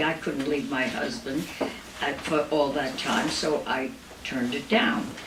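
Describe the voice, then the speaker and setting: Audible room echo and noticeable background noise accompany a woman with a very deep, low pitch speaking at a fairly slow pace. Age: 90s. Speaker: Broadway performer and cabaret singer. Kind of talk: stage patter between songs. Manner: halting.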